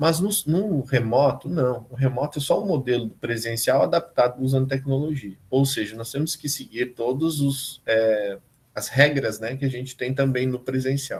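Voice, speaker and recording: A man talks in a somewhat breathy voice with ordinary pitch variation and hardly any pauses. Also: medium pitch for a man, moderate pace. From southern Brazil, Rio Grande do Sul interior. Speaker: university professor. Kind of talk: online lecture. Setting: live remote class video call.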